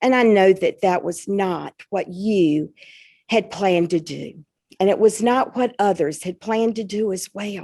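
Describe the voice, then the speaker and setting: A woman's medium-pitched voice in a Southern US accent, dark and mellow in tone, fairly slow in pace, with ordinary pitch variation, on a very clean recording with a silent background. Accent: Southern twang. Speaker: school principal. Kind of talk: public event conversation.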